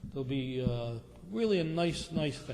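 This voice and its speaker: Audible room echo and noticeable background noise around a man speaking at a moderate pace. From Rhode Island, North Providence. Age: 60s. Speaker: property developer. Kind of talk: public meeting presentation. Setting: town council meeting. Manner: halting.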